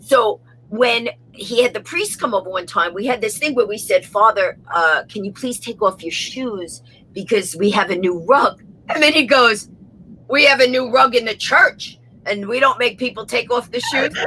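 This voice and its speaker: A woman's fairly high-pitched voice with a New York accent. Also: lively intonation. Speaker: comedienne, motivational speaker. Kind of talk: interview answer. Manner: fast.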